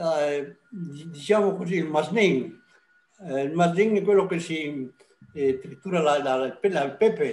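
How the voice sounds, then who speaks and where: A man at a high pitch, speaking at a very slow pace. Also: ordinary pitch variation. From Italy, Belluno area (Veneto). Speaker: emigrant. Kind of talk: interview. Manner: halting.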